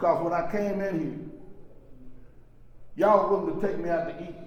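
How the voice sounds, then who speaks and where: A fairly quick, animated delivery amid audible room echo and noticeable background noise. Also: man. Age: 60s. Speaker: recovery workshop speaker. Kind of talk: testimony.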